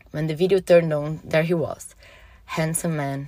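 A woman with a very deep, low pitch speaks at a fairly quick pace. Her voice is somewhat breathy, and her intonation stays fairly even. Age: 30s. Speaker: listener sharing personal story. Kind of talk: reading aloud a personal story.

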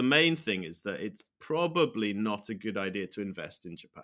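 A man at a fairly low pitch with a bright, sharp tone, very wide pitch swings and a moderate pace. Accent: British. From United Kingdom. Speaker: retired university English lecturer, finance website founder. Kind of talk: interview.

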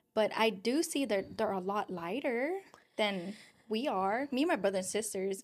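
Recorded very cleanly against a silent background, the speaker talks at a moderate pace with lively intonation in a Filipino accent. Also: woman. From Philippines and Guam. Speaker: podcast host. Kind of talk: casual chat.

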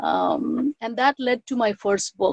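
A woman speaks with a Bengali accent. The sound is dry and close, with no echo. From India (Bengal). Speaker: professor and author. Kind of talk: interview.

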